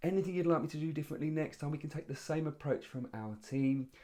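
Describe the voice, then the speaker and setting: This man's tone is dark and mellow. His pace is very fast. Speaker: public speaking coach. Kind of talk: tutorial.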